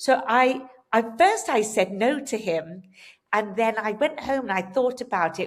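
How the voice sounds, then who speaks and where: Speaking with an English accent, a woman uses a fairly high pitch that swings very widely. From England. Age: 60s. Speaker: hairdresser and hair color educator. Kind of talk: podcast interview.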